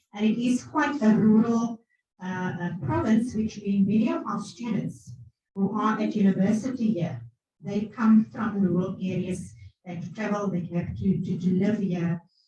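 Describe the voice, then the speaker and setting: Amid audible room echo, a woman with a dark, mellow tone and vocal fry speaks at a moderate pace, her medium pitch carrying lively intonation. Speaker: academic. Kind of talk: conference presentation. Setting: conference hall, hybrid event.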